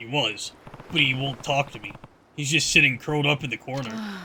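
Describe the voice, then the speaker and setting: A man puts on a character voice with a fairly high pitch and ordinary pitch variation. He talks fairly quickly, with big swings in loudness. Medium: game stream. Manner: calm, steady.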